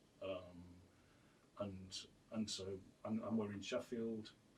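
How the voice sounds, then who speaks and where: A man's somewhat breathy, fairly low-pitched voice at a very slow pace. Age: 50s. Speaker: artist and printmaker. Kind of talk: radio interview. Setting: radio studio. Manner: halting, many repetitions and fillers.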